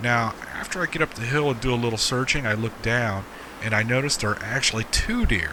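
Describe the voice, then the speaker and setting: Noticeable background noise accompanies a man who speaks at a medium pitch and a moderate pace. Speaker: gaming video creator. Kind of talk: game tutorial narration. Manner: casual, jokey; whispering for drama.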